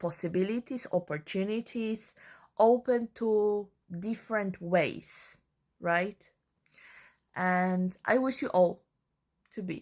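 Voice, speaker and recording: Speaking very slowly with a non-native accent, a woman uses medium pitch and ordinary pitch variation. Her long, frequent pauses sit on a very clean recording with a silent background. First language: not English. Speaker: social media creator. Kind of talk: casual monologue.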